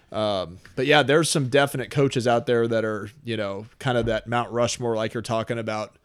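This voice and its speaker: A man with an American accent and an unremarkable speaking voice talks at a medium pitch and moderate pace, with fairly even intonation and hardly any pauses, on a very clean recording with a silent background. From St. Louis area, Missouri (Oakville, South County). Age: 30s. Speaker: personal trainer and gym owner. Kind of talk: casual interview.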